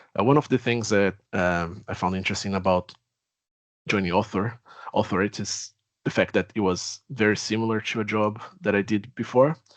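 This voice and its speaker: The background is quiet as a man with a Brazilian accent speaks. His pitch is fairly low, with ordinary pitch variation. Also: moderate pace, dry, close sound with no echo. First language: Portuguese. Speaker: technology executive. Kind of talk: webinar self-introduction.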